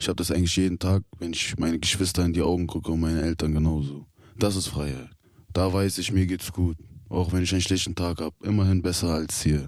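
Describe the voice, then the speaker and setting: Fairly even intonation carries a man's very deep, low pitch at a very fast pace, recorded very cleanly with a silent background. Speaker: prison inmate. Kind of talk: interview. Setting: youth prison.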